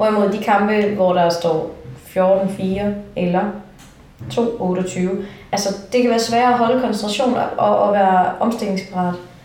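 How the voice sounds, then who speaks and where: A woman's medium-pitched voice at a fairly slow pace with long, frequent pauses, very even loudness and fairly even intonation, amid noticeable background noise and audible room echo. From Denmark, Funen. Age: 20s. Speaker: handball referee. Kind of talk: interview.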